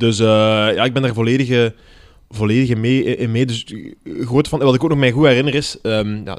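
This man has an unremarkable speaking voice, talking at a moderate pace with ordinary pitch variation. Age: 30s. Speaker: comedian. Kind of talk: casual chat.

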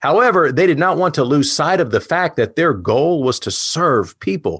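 A man's fairly high voice with vocal fry and an American accent, on a very clean recording with a silent background. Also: dry, close sound with no echo. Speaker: presentation coach. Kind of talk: lecture.

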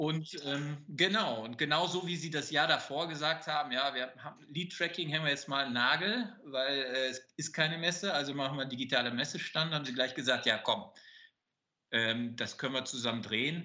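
A fairly high-pitched man at a moderate pace, with ordinary pitch variation. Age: 50s. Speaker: business owner. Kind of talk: interview. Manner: hesitant with many fillers.

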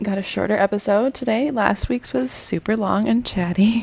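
A woman talks at a moderate speed while noticeable noise sounds behind her. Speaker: podcast co-host. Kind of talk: casual chat.

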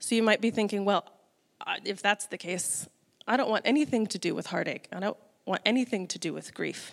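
A woman with an American accent talks at a fairly quick pace. Her pitch is medium, with ordinary pitch variation. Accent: American, noted by others. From US Midwest. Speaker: church lay speaker. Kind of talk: sermon.

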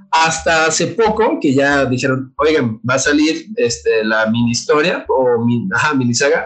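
Taking a fairly slow pace, a man's voice moves through very wide pitch swings. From Mexico, Guadalajara (Jalisco). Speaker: illustrator and graphic designer. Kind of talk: casual chat. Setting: remote video call.

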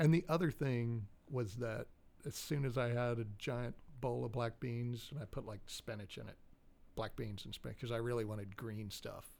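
A man uses a plain, everyday voice pitched in the middle range, keeping a moderate pace and ordinary pitch variation. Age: 40s. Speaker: podcast co-host. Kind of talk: casual chat.

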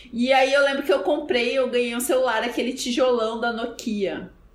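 A woman's high-pitched voice comes through with audible room echo and noticeable background noise. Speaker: podcast co-host. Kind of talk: casual chat.

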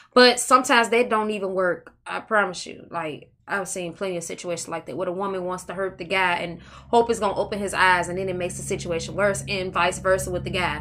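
With music in the background, a woman at a medium pitch talks at a very fast pace, her loudness swinging widely. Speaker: podcast co-host. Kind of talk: casual chat. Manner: laughing often.

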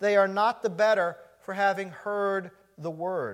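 A man with a warm tone and a high pitch speaks at a fairly slow pace. His intonation is fairly even, and the recording is very clean with a silent background. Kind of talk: fervent closing prayer at end of a sermon. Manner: earnest, heartfelt, pleading tone, warm and rising with conviction.

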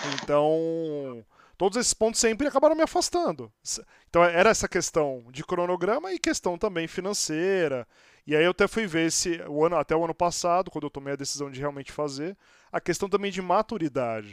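A man speaks at a fairly quick pace with a high pitch and lively intonation. The recording is very clean with a silent background, and the sound is dry and close, without echo. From Santos, Brazil. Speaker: podcast host. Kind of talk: casual interview chat.

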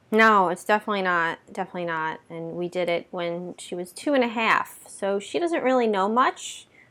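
A woman with an ordinary speaking voice talks at a moderate pace and a medium pitch, with lively intonation and hardly any pauses, on a very clean recording with a silent background. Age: 30s. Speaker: podcast host. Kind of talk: casual chat.

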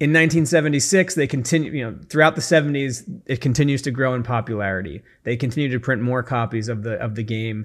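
Over a very clean recording with a silent background, a man with a plain, everyday voice speaks fairly quickly at a medium pitch, with ordinary pitch variation. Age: 40s. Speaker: podcast host. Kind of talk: solo podcast monologue. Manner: casual, with fillers.

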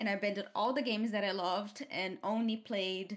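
A woman with a Portuguese accent speaks at a moderate pace. Her fairly high pitch shows ordinary variation. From Brazil, Campinas area. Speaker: game art director and studio co-founder. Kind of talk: casual interview.

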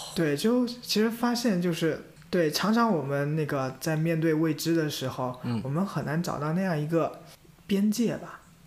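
A man's high-pitched voice with lively intonation at a moderate pace, in audible room echo. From China, Jiangxi. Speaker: podcast co-host, volunteer community organizer. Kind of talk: casual chat.

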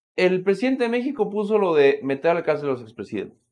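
In a Mexican accent, a man speaks at a high pitch with very wide pitch swings. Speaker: political commentator. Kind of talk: casual chat.

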